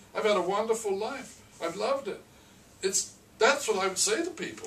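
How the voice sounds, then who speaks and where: A man's high-pitched voice, fairly quick and lively in intonation, over noticeable background noise. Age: 70s. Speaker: restaurant franchise owner. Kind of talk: interview. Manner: halting, repeats words.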